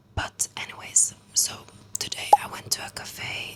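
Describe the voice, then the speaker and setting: A woman speaks in a whisper. There is noticeable noise in the background. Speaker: student vlogger. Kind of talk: casual vlog to camera. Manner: soft-spoken.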